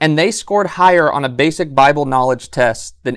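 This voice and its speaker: In a very clean recording with a silent background, a normal speaking voice moves at a fairly quick pace. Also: man. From Southern California. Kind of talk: podcast interview. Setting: live in a bookstore.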